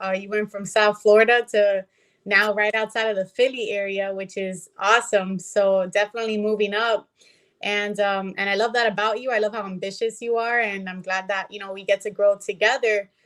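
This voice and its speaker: Over a silent background in a very clean recording, a woman speaks at a fairly quick pace. Her medium-pitched voice has monotone, flat intonation. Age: 20s. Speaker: company vice president, guest. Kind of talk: casual interview chat.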